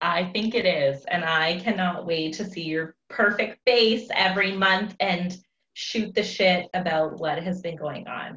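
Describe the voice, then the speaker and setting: An unremarkable speaking voice from a woman, medium in pitch, with ordinary pitch variation at a fairly slow pace. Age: 30s. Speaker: teacher and small business owner. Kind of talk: casual chat.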